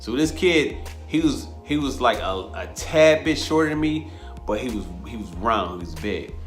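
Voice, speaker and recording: A man with an American accent and medium pitch in an animated tone, with music in the background. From Rochester, New York. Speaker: boxing coach, former amateur boxer. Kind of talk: interview answer. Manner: casual, animated storytelling.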